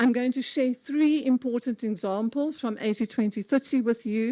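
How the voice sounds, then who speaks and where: Speaking with a South African accent, a woman with a fairly high pitch and a dark, mellow tone talks at a moderate pace with ordinary pitch variation, in a very clean recording with a silent background and a dry, close sound with no echo. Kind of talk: conference talk.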